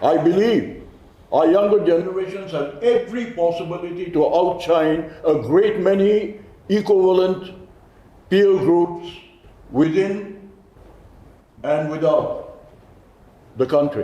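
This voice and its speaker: A man with a Naga accent and a high pitch speaks at a fairly slow pace with long, frequent pauses, against noticeable background noise and audible room echo. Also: ordinary pitch variation. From Nagaland, India. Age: 70s. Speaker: community leader. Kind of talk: press conference speech.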